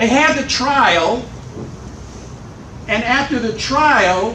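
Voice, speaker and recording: Here a man's voice sits at an extremely high pitch, with an animated tone and lively intonation. Noticeable background noise and audible room echo surround him. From US Midwest, Chicago. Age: 80s+. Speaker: political educator. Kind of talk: lecture to activists.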